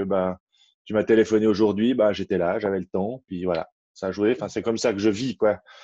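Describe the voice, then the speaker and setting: A man's dark, mellow voice comes through with a dry sound, no echo, and a quiet background. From French-speaking Switzerland, Renens near Lausanne; Switzerland. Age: 30s. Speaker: farmer; interviewee. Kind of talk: interview conversation. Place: home room. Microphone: webcam.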